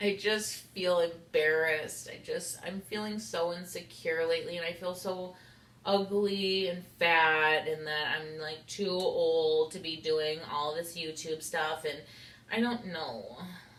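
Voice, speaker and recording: Room echo is audible as a woman speaks at a fairly low pitch. She goes at a fairly slow pace with fairly even intonation. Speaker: YouTuber. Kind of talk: casual vlog monologue. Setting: sitting on kitchen floor at home.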